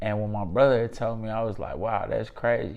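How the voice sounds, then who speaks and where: Audible room echo surrounds a man of medium pitch speaking with monotone, flat intonation. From US Midwest, St. Louis. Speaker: YouTube commentator. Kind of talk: casual commentary monologue. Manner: casual, many fillers.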